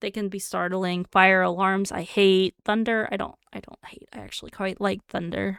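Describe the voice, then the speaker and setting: A woman speaks at a medium pitch in a monotone, flat intonation, her loudness swinging widely, on a very clean recording with a silent background. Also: moderate pace, dry, close sound with no echo. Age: 30s. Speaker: streamer. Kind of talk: reading quiz items aloud with casual commentary. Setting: live stream.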